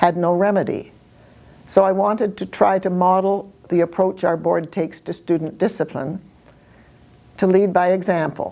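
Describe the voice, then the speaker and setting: A woman's dark, mellow tone at a moderate pace, with fairly even intonation. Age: 80s+. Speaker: school board trustee. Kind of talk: public statement. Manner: formal.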